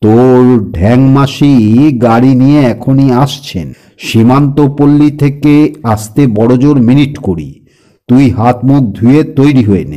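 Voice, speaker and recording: A booming put-on character voice from a man, medium in pitch and fairly slow, with ordinary pitch variation. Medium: read story. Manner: brisk, commanding, teasing.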